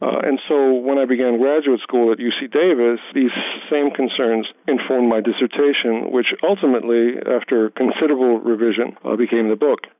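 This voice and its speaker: Noticeable background noise accompanies a man who talks fairly quickly, his intonation fairly even. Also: medium pitch for a man. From Hawaii. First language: German. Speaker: history professor. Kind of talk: interview. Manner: many hesitations and repeated words.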